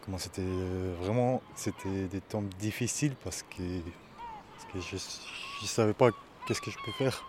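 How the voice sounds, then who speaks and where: At a moderate pace with long, frequent pauses, a man speaks in a fairly low voice with ordinary pitch variation over noticeable background noise. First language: not French (speaking French). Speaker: asylum seeker, workshop participant. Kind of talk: testimony. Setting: outdoors on a cliff edge. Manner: halting.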